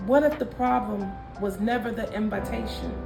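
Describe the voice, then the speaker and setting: With an American accent, a woman speaks at a moderate pace with ordinary pitch variation as music plays in the background. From Minnesota. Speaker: spoken word artist. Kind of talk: spoken word poetry performance.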